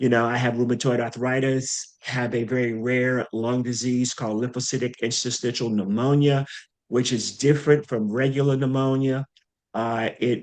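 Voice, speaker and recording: A man speaks in an unremarkable speaking voice at a medium pitch. His pace is moderate and his intonation fairly even. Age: 60s. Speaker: HIV long-term survivor and community advocate. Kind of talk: panel discussion.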